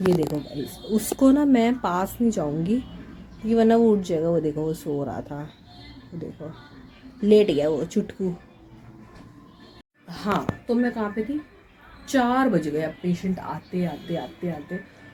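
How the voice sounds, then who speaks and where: The pitch swings very widely, with long, frequent pauses. Music plays in the background. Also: woman, fairly low pitch for a woman. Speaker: vlogger and hospital night-shift worker. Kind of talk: casual vlog chat.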